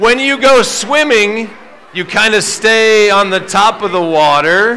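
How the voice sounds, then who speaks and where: The voice is raised and projected. Pitch varies in an ordinary way over light background noise. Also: man. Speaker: presenter. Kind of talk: lively talk to children. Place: stage.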